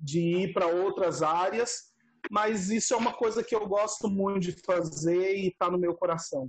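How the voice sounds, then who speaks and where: The speaker talks at a fairly slow pace with a Mato Grosso do Sul accent. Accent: noticeable Mato Grosso do Sul. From Brazil, Mato Grosso do Sul. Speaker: seminary student. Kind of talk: casual chat.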